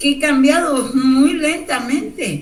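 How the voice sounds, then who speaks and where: Against noticeable background noise and audible room echo, a woman talks at a fairly slow pace. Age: 60s. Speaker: Bible study participant. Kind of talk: group Bible study discussion.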